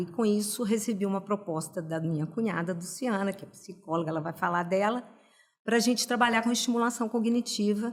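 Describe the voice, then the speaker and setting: Pitched fairly high with ordinary pitch variation, a woman talks in a plain, everyday voice. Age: 60s. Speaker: pedagogue and cognitive stimulation practitioner. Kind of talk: podcast interview.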